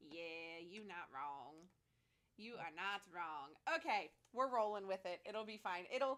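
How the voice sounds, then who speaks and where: The voice moves at a fairly slow pace with lively intonation. Its loudness swings widely. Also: woman, medium pitch for a woman. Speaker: podcast host. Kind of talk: casual chat.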